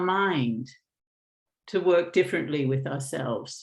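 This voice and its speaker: There is lively intonation in this woman's speech. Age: 60s. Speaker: mindfulness teacher. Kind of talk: webinar Q&A answer. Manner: hesitant, with many fillers.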